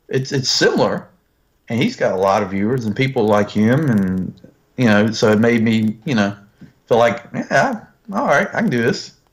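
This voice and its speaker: This man speaks with a Southern US accent at a medium pitch. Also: ordinary pitch variation, moderate pace. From US South, northern North Carolina. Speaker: YouTube toy reviewer. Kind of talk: casual chat.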